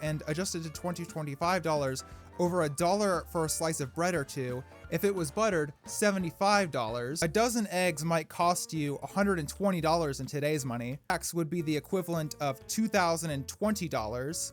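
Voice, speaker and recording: Music plays behind a man speaking. His pitch is fairly high, with ordinary variation. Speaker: comedic history narrator. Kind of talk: comedic history narration. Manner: sarcastic, irreverent.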